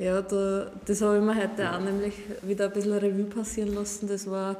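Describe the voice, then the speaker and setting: A woman's medium-pitched voice, dark and mellow in tone, at a very fast pace. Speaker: wine princess from a winery. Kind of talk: casual chat. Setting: winery sales room.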